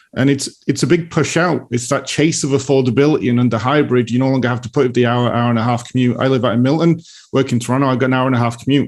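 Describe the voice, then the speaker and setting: Speaking at a very fast pace in a British accent, a man uses a medium pitch with ordinary pitch variation. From UK. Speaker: real estate market analyst. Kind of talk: casual chat.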